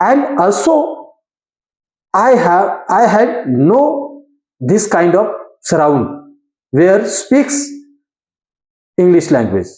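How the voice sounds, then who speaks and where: Speech in a Goan accent comes at a very slow pace, broken by long, frequent pauses. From India, Konkani-speaking region. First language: Konkani. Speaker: English learner and video creator. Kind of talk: informal educational talk to camera. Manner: halting, with fillers and self-corrections.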